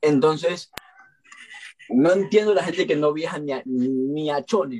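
This man has a fairly high voice. His pitch swings very widely. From Ecuador. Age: 20s. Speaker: TikToker. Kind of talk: casual chat. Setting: video call.

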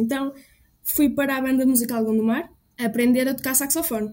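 The pace is fairly quick. A woman speaks at a high pitch. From Portugal, Trás-os-Montes. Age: 20s. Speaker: music student and composer. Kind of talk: testimony.

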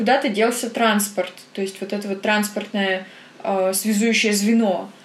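Fairly high-pitched, a woman talks at a fairly slow pace. Noticeable background noise can be heard. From Perm, Russia. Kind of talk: casual chat.

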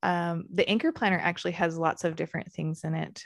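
A woman with an American accent uses a normal speaking voice at fairly low pitch with fairly even intonation, on a very clean recording with a silent background. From Arizona. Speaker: podcast host and planner business owner. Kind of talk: interview.

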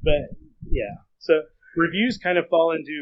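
At a moderate pace, a man speaks in a plain, everyday voice, with ordinary pitch variation. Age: 40s. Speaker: fan fiction author. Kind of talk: casual chat.

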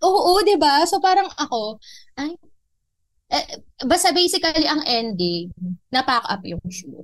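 Speaking at a fairly slow pace with long, frequent pauses, a woman uses a high pitch that makes very wide swings. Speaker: podcast co-host, TV production staff. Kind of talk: casual chat.

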